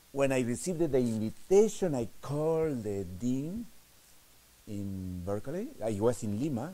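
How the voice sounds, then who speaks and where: A man with a strong Spanish accent speaks at a fairly slow pace and medium pitch, his dark, mellow tone making very wide pitch swings amid audible room echo. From Peru. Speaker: novelist. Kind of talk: lecture. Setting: stage with audience. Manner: halting.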